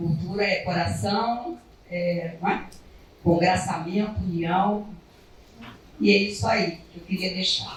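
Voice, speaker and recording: A woman talks at a very slow pace with long, frequent pauses, using a fairly low pitch and ordinary pitch variation. Noticeable background noise and audible room echo are present. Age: 70s. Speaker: cultural association president. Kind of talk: speech at a literary academy meeting.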